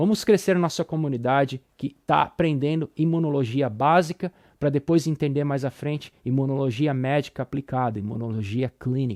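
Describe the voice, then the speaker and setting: A man with a Brazilian accent, fairly high-pitched with ordinary variation, at a moderate pace with hardly any pauses, over a quiet background. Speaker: immunology professor. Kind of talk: lecture. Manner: casual, informal; halting, repeats words.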